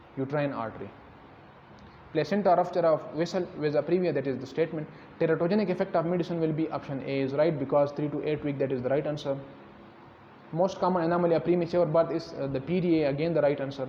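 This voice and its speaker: In a room with audible echo, a man talks at a very fast pace, his fairly high pitch held in fairly even intonation. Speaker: doctor teaching exam questions. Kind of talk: lecture.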